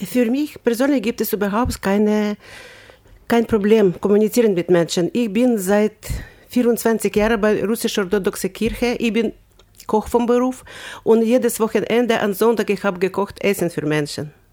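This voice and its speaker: Her tone dark and mellow, a woman speaks at a moderate pace with a fairly high pitch and ordinary pitch variation. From Ukraine. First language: Ukrainian or Russian (speaking German). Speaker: volunteer. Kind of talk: interview. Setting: studio. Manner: animated.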